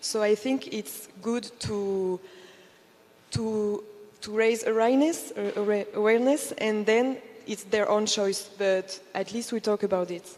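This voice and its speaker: A plain, everyday voice talks at a fairly slow pace with fairly even intonation. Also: woman, fairly high pitch for a woman. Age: 20s. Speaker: travel content creator. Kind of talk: panel discussion.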